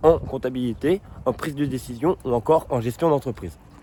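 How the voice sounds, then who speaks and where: Here the man's pitch sits at a medium level with ordinary pitch variation. He moves at a fairly quick pace. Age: 20s. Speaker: job applicant. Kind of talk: scripted self-presentation video CV. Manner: upbeat, energetic.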